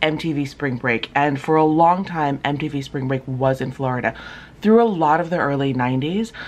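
At a moderate pace, a woman speaks in a very deep, low voice with ordinary pitch variation. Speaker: travel vlogger. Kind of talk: casual vlog chat. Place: home room. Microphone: phone near.

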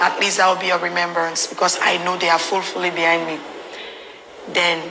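The speech moves at a moderate pace with monotone, flat intonation over noticeable background noise. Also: woman. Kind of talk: interview answer. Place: booth.

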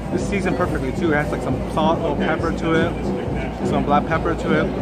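A man's speech comes at a fairly quick rate. Behind him, music is playing. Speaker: food vlogger. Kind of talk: casual vlog chat, food review. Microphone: phone near.

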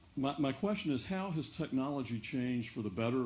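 With an American accent, a man speaks at a moderate pace in a slightly mellow tone. Audible room echo surrounds his voice.

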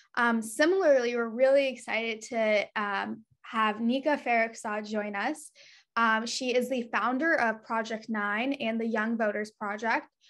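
In an ordinary speaking voice, a woman talks at a fairly slow pace with a fairly high pitch. Her pitch variation is ordinary, and the background is quiet. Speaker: program director; event host. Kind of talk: virtual event hosting. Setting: video call. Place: home room. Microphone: video call.

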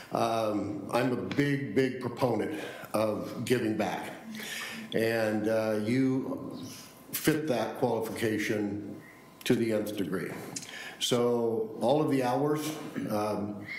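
Over light background noise with audible room echo, a man talks at a very slow pace with long, frequent pauses and fairly even intonation. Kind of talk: formal meeting tribute remarks. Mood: warm, appreciative. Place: hall. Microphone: podium.

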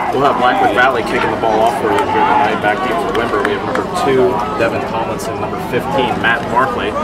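Over crowd noise, a man talks at a very fast pace. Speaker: sports commentator. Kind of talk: commentary. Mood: upbeat, enthusiastic. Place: stadium.

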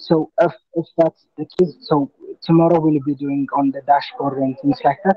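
A man with a normal speaking voice talks at a moderate pace and a fairly high pitch, with ordinary pitch variation and big swings in loudness, in a dry sound with no echo. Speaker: trainee in a data course. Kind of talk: standup status update. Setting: video call. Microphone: video call.

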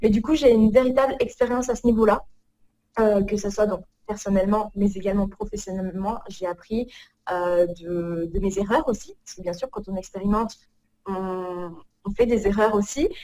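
A woman's dark, mellow tone carries ordinary pitch variation and big swings in loudness. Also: moderate pace, dry sound with no echo. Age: 30s. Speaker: organization coach. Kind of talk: casual interview. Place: home room. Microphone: video call.

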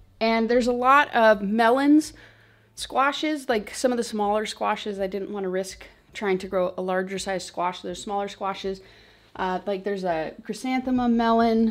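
The speaker is a woman talking at a moderate pace. Her pitch varies in an ordinary way. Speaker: homestead vlogger. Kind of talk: casual vlog chat. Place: home room. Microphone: phone near.

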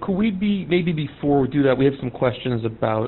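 Lively intonation marks this man's speech at a medium pitch. His pace is fairly quick.

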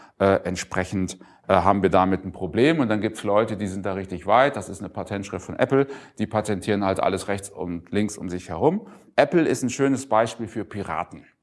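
A man with a fairly low pitch and ordinary pitch variation speaks at a fairly quick pace, his loudness swinging widely. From northwestern Germany (Emsland); northwestern Germany. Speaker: keynote speaker, open source business person; keynote speaker. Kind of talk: conference keynote talk. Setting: conference stage with audience. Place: hall. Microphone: lapel.

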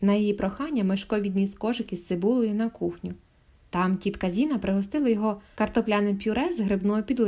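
The voice reads aloud in a natural way.

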